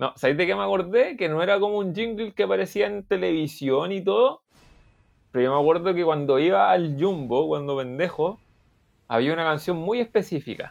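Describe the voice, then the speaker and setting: Backed by music, a man with a Chilean accent and a high pitch speaks at a fairly quick pace with very wide pitch swings. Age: 20s. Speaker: podcast host. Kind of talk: casual chat.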